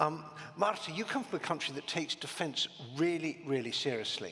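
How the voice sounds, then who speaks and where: Moving at a fairly quick pace, a man talks while noticeable background noise fills the recording. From Britain. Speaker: panel moderator. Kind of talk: panel discussion. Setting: conference stage with audience.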